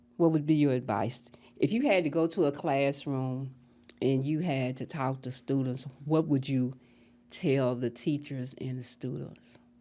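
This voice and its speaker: Speaking slowly-ish with fairly even intonation, a woman with an American accent has a very deep, low pitch and a dark, mellow tone, in a very clean recording with a silent background. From US South, Memphis, Tennessee. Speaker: school integration pioneer. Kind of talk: oral history conversation.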